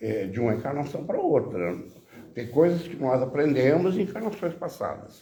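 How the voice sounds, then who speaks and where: A man's medium-pitched voice with very wide pitch swings, noticeable background noise and audible room echo. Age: 80s+. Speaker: audience member asking questions. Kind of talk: Q&A discussion.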